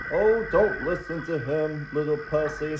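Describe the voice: A man puts on a cartoonish character voice, fairly high in pitch, at a moderate pace. Loud background noise runs underneath.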